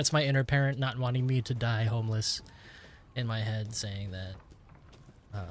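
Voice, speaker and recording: A man with an American accent speaks at medium pitch and a moderate pace, somewhat breathy. His intonation is fairly even, broken by long, frequent pauses. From United States. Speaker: gaming streamer. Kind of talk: casual live-stream chat. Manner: rambling, halting with many fillers.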